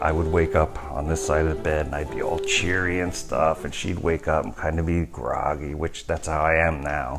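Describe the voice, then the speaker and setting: Noticeable background noise accompanies a man with an American accent talking at a moderate pace. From New York, USA. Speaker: sculptor. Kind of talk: casual storytelling anecdote.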